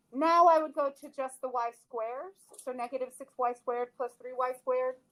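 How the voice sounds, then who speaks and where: This woman has a high-pitched voice with fairly even intonation. Her loudness swings widely. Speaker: math teacher. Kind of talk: lecture. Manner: fast.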